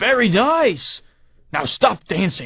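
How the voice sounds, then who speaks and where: Putting on a character voice, a man sounds raspy and high-pitched, his pitch swinging very widely. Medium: read story. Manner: gleeful, mocking.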